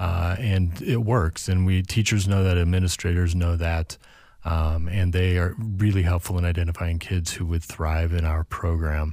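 With an American accent, a man speaks at a very deep, low pitch in a dark, mellow tone, keeping his loudness very even and his intonation fairly even. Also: moderate pace. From US Midwest, St. Louis. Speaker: nonprofit executive director. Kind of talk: casual interview chat.

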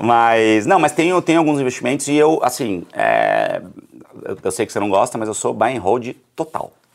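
A man with a plain, everyday voice talks at a medium pitch and a moderate pace, with lively intonation. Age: 30s. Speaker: communicator and entrepreneur. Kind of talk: casual interview. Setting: studio.

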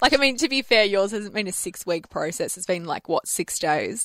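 A woman's bright, sharp voice at a fairly high pitch, in an Australian accent, with very wide pitch swings at a moderate pace. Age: 20s. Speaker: radio host. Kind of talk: casual chat. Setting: studio.

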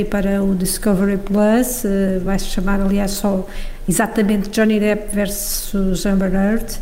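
A woman with a medium pitch and very even loudness is heard with audible room echo and noticeable background noise. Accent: European Portuguese. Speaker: newspaper deputy editor. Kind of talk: casual chat.

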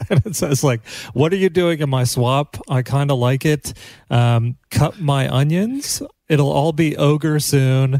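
With a dark, mellow tone and ordinary pitch variation, a man speaks at a fairly slow pace in a dry, close sound with no echo. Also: fairly high pitch for a man. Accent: American. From US Midwest, Kansas. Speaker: comedian podcast host. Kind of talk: casual chat.

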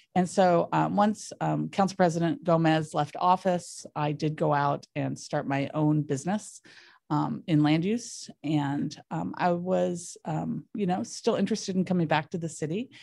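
Against a quiet background, a speaker in a Californian accent uses a dark, mellow tone, ordinary pitch variation and hardly any pauses. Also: woman, very deep, low pitch for a woman. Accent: Californian American. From US, San Diego. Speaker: city government official. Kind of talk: interview. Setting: studio.

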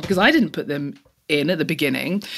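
A woman talks with a London accent. Her pitch sits fairly low and varies in an ordinary way. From East London, England. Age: 30s. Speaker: technologist and advocate for women in tech. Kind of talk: interview.

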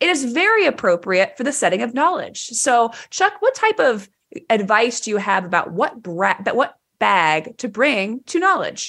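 A woman with a high pitch and a bright, sharp tone speaks at a moderate pace. Her pitch swings very widely. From Texas, Dallas. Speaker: developer podcast co-host, tech company employee. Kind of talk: casual chat. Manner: loud.

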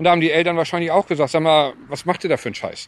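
A man's high-pitched voice rushes along very fast. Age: 50s. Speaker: sports club chairman. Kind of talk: interview. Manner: halting.

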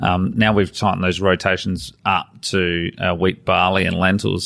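The recording is very clean with a silent background. A man speaks at a moderate pace in a very deep, low voice with vocal fry and ordinary pitch variation. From Adelaide, South Australia. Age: 40s. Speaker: farmer and former air force engineer. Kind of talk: interview. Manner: halting.

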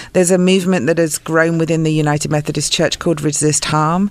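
A woman with an English accent speaks at a very deep, low pitch. Her intonation is monotone and flat, with noticeable background noise. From England. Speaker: pastor. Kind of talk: interview. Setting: studio.

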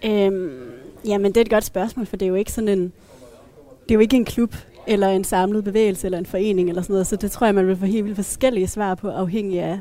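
A normal speaking voice carries fairly even intonation. The pace is fairly quick. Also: woman, medium pitch for a woman. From Denmark, Thy (northwest Jutland). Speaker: feminist panelist. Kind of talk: casual panel discussion. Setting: café.

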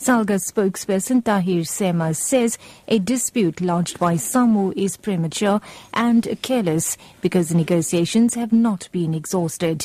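A woman with an ordinary speaking voice, medium pitch, ordinary pitch variation and moderate pace. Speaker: radio newsreader. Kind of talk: radio news bulletin reading. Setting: radio studio. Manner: formal, brisk, even-paced newsreader delivery.

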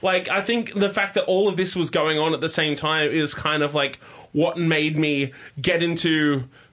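A man with an Australian accent speaks at a fairly high pitch. His tone is bright and sharp, with ordinary pitch variation. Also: very even loudness. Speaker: podcast host. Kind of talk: casual chat. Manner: animated.

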